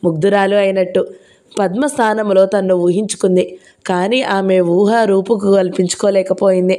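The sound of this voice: Fairly even intonation runs through the clip. It is an unforced reading voice.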